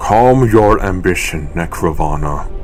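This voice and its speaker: Over clear background noise, a put-on character voice unfolds at a fairly slow pace. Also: man. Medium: audio drama. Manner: formal, commanding.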